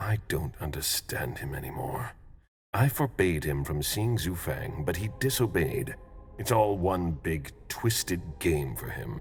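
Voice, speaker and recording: Over music in the background, a man uses a put-on character voice with a very deep, low pitch at a fairly slow pace. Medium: video game.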